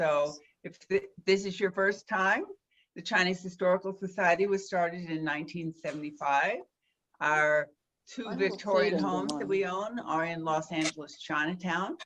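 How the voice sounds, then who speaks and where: This woman has a normal speaking voice, fairly low in pitch. Her pace is moderate and her intonation fairly even. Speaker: historical society president. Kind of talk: event host welcome.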